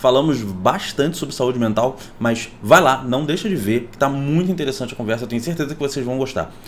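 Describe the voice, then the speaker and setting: Over noticeable background noise, a man talks in an animated tone at a medium pitch and fairly quick pace, with hardly any pauses and big swings in loudness. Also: ordinary pitch variation. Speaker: YouTuber. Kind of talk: casual vlog commentary.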